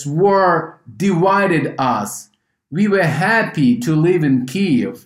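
A man in a Ukrainian accent speaks at a high pitch with lively intonation. His pace is very slow. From Ukraine. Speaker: humanitarian organization head. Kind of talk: interview. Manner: halting.

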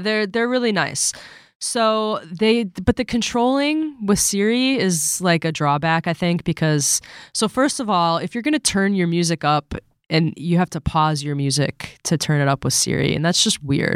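Using a normal speaking voice, a woman talks at a moderate pace with a fairly low pitch. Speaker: magazine editor and co-host. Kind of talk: casual chat.

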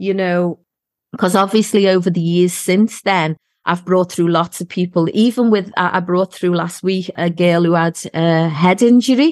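A woman with a Scouse accent, medium pitch, fairly even intonation and moderate pace, in a dry, close sound with no echo and a quiet background. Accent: Scouse (Liverpool English). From Liverpool, England. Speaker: psychic medium and podcast host. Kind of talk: casual chat.

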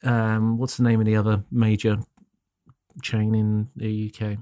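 A man with a British accent speaks at a fairly slow pace. The recording is very clean with a silent background. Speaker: photography podcast co-host. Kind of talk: casual chat.

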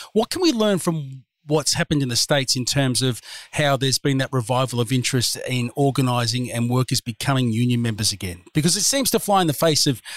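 Very fast and with lively intonation, a man with an Australian accent speaks at medium pitch in a dry, close sound with no echo. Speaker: podcast host. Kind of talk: casual chat and interview.

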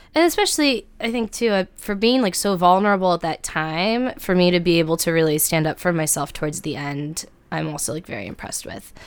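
A woman with a Midwestern US accent speaks at a fairly quick pace, with lively intonation and hardly any pauses. Her fairly low voice comes through on a very clean recording against a silent background. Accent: General American, Midwestern. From US Midwest, Cincinnati, Ohio. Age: 20s. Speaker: writer and comedian. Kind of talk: personal storytelling interview. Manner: casual, hesitant with fillers.

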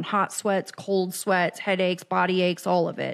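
In an American accent, a normal speaking voice goes at a moderate pace in a very clean recording with a silent background. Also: woman. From Kansas City, US Midwest. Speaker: addiction recovery podcaster and life coach. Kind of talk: casual interview conversation.

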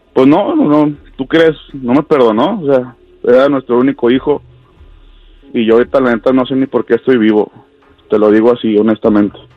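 A man's medium-pitched voice at a moderate pace, with ordinary pitch variation, long, frequent pauses and music in the background. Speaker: caller sharing his story. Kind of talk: tearful confession of a tragedy, broken by sobs. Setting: phone call to radio show. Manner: halting, choked with emotion, voice catching on words; repeating himself, stumbling over words.

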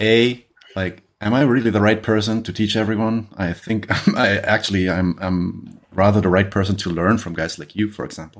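A fairly low male voice with a German accent, moderate pace and fairly even intonation. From Germany. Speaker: podcast host. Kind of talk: casual interview. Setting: video call.

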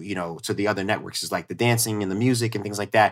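With a strong New York accent, a man speaks in an animated tone on a very clean recording with a silent background. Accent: New York accent, came out strongly. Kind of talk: casual chat.

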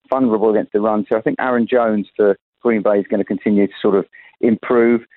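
A man with a British accent and a fairly low voice, fairly quick delivery and fairly even intonation. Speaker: betting odds pundit. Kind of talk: sports betting preview. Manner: halting.

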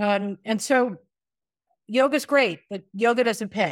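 In a very clean recording with a silent background, a woman speaks slowly-ish, at a fairly slow pace, with a fairly high pitch. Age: 60s. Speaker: retired teacher and yoga instructor. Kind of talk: interview. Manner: halting.

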